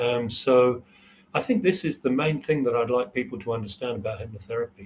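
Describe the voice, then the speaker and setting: A man with a somewhat breathy, medium-pitched voice speaks at a fairly quick pace with ordinary pitch variation. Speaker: hypnotherapy trainer. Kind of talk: interview. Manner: hesitant, many fillers.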